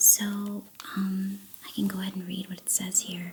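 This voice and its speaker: Soft-spoken and somewhat breathy, a woman talks at a medium pitch. Her tone is relaxed and her pace fairly slow. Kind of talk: ASMR tea-making ramble to camera. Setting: binaural stereo mic, close-up recording. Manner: soft-spoken, relaxed.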